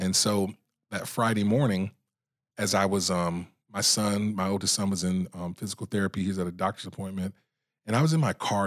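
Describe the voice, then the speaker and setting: Over a silent background in a very clean recording, a man with a normal speaking voice and an American accent talks at a fairly quick pace, his pitch fairly low with ordinary variation. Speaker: video creator and speaker. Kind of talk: casual interview chat.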